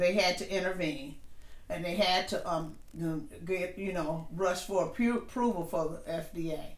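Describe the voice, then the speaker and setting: A woman talks at a fairly slow pace with fairly low pitch and fairly even intonation. Noticeable background noise sits behind her. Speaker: podcast host. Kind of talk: casual chat.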